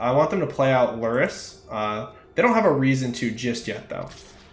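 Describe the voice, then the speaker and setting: A man speaks at a moderate pace with lively intonation. Noticeable background noise and audible room echo are present. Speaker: streamer playing card games. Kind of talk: live gameplay commentary. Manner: mumbles at times; casual, thinking aloud.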